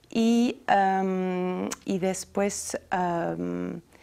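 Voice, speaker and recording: Speaking with a French accent, the woman has a dark, mellow tone. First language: French (speaking Spanish). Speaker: healthy food entrepreneur; interview guest. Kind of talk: interview. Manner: halting. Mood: calm, friendly. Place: studio.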